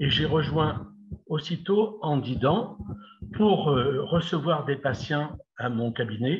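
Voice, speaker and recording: A man with a fairly high voice speaks at a very slow pace. His intonation is lively. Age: 70s. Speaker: retired dentist. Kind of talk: interview.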